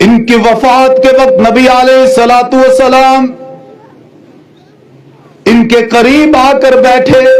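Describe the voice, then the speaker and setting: Over noticeable background noise, a man speaks at an extremely high pitch in a monotone, flat intonation with very even loudness. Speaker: Islamic scholar giving a sermon. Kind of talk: religious sermon (bayan).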